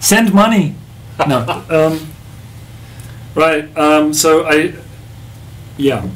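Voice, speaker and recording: Against noticeable background noise and audible room echo, a man speaks very slowly at a fairly high pitch. He leaves long, frequent pauses, and his pitch varies in an ordinary way. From Australia, Melbourne. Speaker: musician. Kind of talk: casual chat. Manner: halting.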